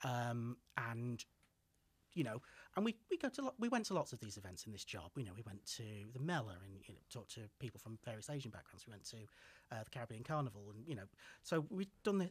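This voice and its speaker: A man talks at a very fast pace in a Mancunian accent, sounding somewhat breathy. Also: lively intonation, big swings in loudness. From Manchester, England (Sale); England. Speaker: PhD student; podcast guest. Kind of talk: casual chat. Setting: studio. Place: studio. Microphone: studio mic.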